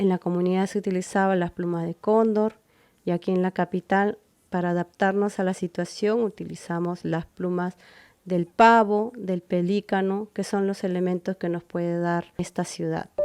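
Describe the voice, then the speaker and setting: A woman speaks at a moderate pace in a flat monotone. The sound is dry and close, with no echo. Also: medium pitch for a woman, quiet background. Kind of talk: scripted narration.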